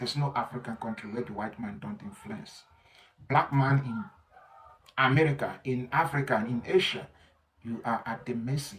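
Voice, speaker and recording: At a moderate pace, a man with a medium pitch speaks with lively intonation. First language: not English. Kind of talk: opinion monologue.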